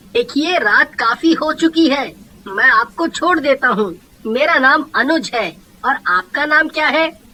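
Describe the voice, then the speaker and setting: A man puts on a character voice with an extremely high pitch. He talks at a fairly slow pace. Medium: read story.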